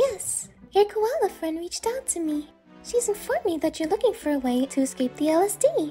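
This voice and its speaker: Using a put-on character voice with extremely high pitch and very wide pitch swings, a woman talks at a fairly quick pace over faint music in the background. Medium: solo performance. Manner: polite, composed.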